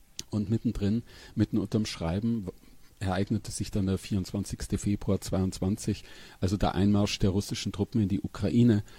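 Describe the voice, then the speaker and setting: A man speaks at a moderate pace in a fairly low, somewhat breathy voice with a dark, mellow tone and monotone, flat intonation, recorded dry and close with no echo on a very clean track with a silent background. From Upper Palatinate, northeastern Bavaria. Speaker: crime novelist. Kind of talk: interview conversation. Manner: halting.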